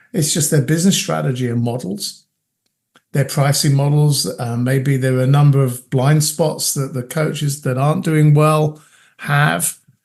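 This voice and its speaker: A man's fairly high, somewhat breathy voice at a moderate pace, with ordinary pitch variation. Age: 50s. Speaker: coach. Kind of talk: interview.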